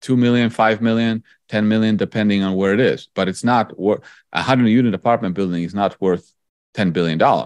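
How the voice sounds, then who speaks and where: Against a quiet background, a man in a Polish accent speaks in a fairly low voice with fairly even intonation and a dry, close sound with no echo. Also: fairly quick pace. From Poland. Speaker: investor and author. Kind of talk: interview.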